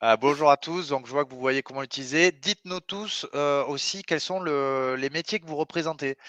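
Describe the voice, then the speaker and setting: An enthusiastic man in a Toulouse accent, fairly high in pitch with ordinary variation, bright and sharp in tone, at a moderate pace with hardly any pauses, big swings in loudness, and a dry, close sound with no echo. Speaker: webinar host, sales company representative. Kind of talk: webinar presentation. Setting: online webinar. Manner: enthusiastic, hesitant with frequent euh.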